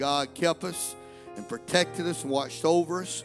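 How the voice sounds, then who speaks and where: A man keeps a moderate pace. Clear music can be heard behind him. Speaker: associate pastor. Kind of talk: sermon. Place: church.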